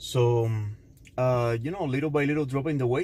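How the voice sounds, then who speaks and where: In a Cuban accent, a man of medium pitch speaks with a dark, mellow tone and fairly even intonation. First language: Spanish. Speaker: fitness vlogger. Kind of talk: casual vlog talk to camera. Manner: halting, many fillers.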